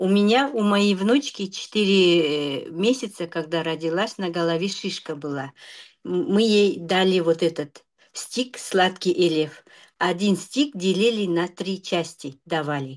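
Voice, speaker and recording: A woman's medium-pitched voice, very slow in pace, with lively intonation against a quiet background. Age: 50s. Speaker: product testimonial giver. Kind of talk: testimony.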